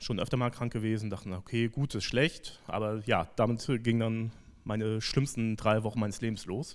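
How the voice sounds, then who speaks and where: The recording is very clean, with a silent background. A man speaks in an unremarkable speaking voice at a medium pitch. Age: 30s. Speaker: church member giving testimony. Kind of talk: testimony.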